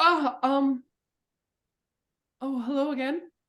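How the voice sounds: A man puts on a character voice at an extremely high pitch, bright and sharp in tone. He speaks slowly with fairly even intonation.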